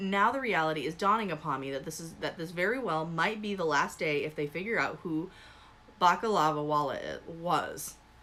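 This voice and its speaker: A woman's intonation rises and falls lively as she talks rather quickly, with clear noise in the background. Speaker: streamer reading reddit stories. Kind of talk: reading aloud. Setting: live stream. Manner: fast.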